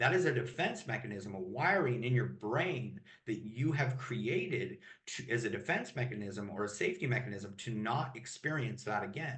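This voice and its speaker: Speaking at a moderate pace, a man of medium pitch uses lively intonation. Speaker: emotional mastery coach. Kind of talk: podcast interview. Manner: loud.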